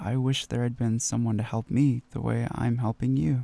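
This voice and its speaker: A man speaks at medium pitch and a moderate pace, with a gentle, dark, mellow tone. His intonation is fairly even and the sound is dry and close, with no echo. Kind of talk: ASMR roleplay, comforting sleep aid. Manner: soft-spoken, gentle, reassuring.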